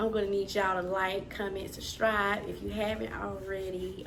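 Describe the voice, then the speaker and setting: A woman speaks at a moderate pace, her pitch in the medium range. Audible room echo surrounds her voice. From US South. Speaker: podcast co-host. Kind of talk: casual chat. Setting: at home, baby napping in next room.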